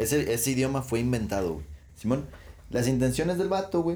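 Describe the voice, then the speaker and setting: A man's dark, mellow tone with very wide pitch swings, at a moderate pace, with audible room echo. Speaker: podcast co-host. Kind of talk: casual chat. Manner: animated.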